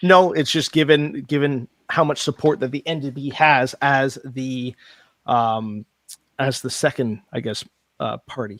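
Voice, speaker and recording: A man speaks in a plain, everyday voice at medium pitch with ordinary pitch variation, fairly slowly, in a dry, close sound with no echo. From Canada. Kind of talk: casual chat.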